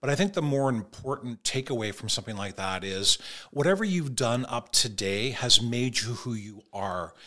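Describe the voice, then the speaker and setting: A Canadian-accented man at medium pitch speaks at a moderate pace in a bright, sharp tone with lively intonation. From Toronto, Canada. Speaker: mortgage broker. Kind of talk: podcast interview.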